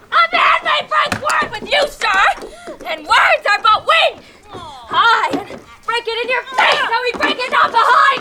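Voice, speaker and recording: A woman's put-on character voice, extremely high in pitch, at a moderate pace. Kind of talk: comic stage acting. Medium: stage play. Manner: loud, excitable.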